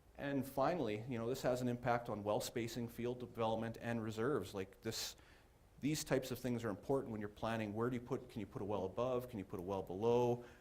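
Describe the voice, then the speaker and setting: A man's medium-pitched voice, fairly quick in pace and fairly even in intonation. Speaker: geoscience presenter. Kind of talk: technical presentation. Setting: conference room with audience. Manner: fast.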